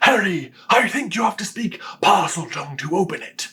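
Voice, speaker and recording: A man puts on a character voice, raspy and high-pitched. He keeps a moderate pace. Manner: terrible, exaggerated impression.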